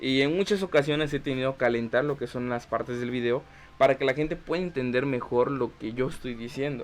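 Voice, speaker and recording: The man talks at a fairly quick pace with ordinary pitch variation. There is noticeable background noise behind him. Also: medium pitch for a man. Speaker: podcast host. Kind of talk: vlog tutorial. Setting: talking to camera. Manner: fast.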